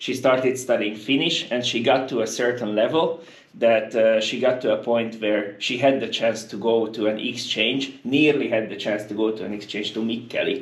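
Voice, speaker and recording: With a Hungarian accent, a man speaks at a moderate pace and medium pitch, with hardly any pauses and fairly even intonation. Noticeable background noise and audible room echo fill the recording. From Hungary. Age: 20s. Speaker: university international office worker. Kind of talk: casual interview conversation. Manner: hesitant, many fillers.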